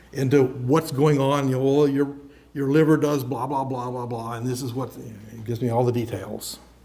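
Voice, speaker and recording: A man at medium pitch and moderate pace, fairly even intonation, audible room echo. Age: 70s. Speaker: software engineer giving a talk. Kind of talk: lecture. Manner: casual, conversational with fillers and repetitions.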